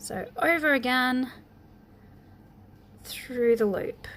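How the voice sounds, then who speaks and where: Her pitch rises and falls in a typical manner. The speaker is a woman with a high voice. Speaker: crochet teacher. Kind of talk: tutorial. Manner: halting, many ums; casual, chatty.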